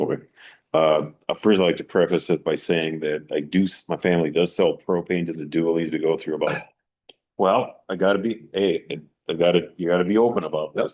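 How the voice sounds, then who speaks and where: Here a man with an American accent talks at a fairly quick pace. His pitch is very deep and low, and his intonation fairly even. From New York, Long Island. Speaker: town board member. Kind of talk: public meeting deliberation. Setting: town board public hearing. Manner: halting.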